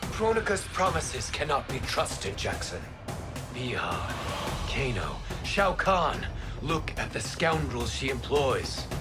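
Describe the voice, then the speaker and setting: A man's cartoonish character voice at a fairly slow pace, over loud music in the background. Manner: measured, formal.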